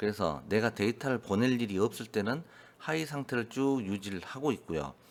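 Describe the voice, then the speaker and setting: A man's medium-pitched voice with vocal fry, lively intonation and a fairly quick pace. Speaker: electronics instructor. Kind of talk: lecture. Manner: hesitant with fillers.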